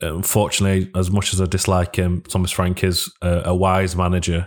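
Delivered at a moderate pace, the speech comes on a very clean recording with a silent background. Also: man. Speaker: football fan podcast co-host. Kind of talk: casual chat. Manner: monotone.

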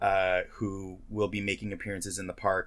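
A very clean recording with a silent background, featuring a man at a moderate pace. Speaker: podcast co-host. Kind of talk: casual chat.

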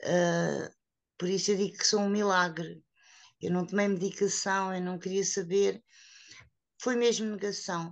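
A woman at a fairly slow pace, her intonation monotone and flat, with long, frequent pauses. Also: medium pitch for a woman, quiet background. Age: 50s. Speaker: woman living with HIV, association member. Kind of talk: personal testimony.

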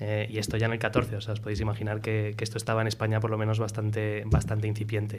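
Rushing at a very fast pace, a man speaks in a fairly low, somewhat breathy voice with monotone, flat intonation and audible room echo. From Spain and Miami, USA. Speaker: startup CEO. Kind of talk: casual interview.

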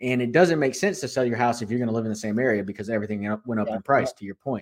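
A man is heard on a very clean recording against a silent background. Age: 30s. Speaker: sports card podcast host. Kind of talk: casual chat.

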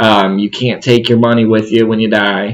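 Delivered at a fairly quick pace, this is a plain, everyday voice. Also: man. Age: 20s. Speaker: podcast host. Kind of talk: interview.

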